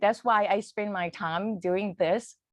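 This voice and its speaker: A woman speaks with a Thai accent against a quiet background, the sound dry and close with no echo. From Thailand. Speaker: English teacher. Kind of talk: conference presentation. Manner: halting.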